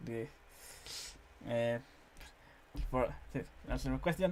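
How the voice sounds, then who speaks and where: The delivery is fairly slow. It comes in a Spanish accent. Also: man. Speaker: interviewer. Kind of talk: interview. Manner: halting.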